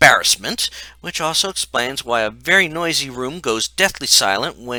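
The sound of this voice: The reading voice stays unforced, its intonation lively.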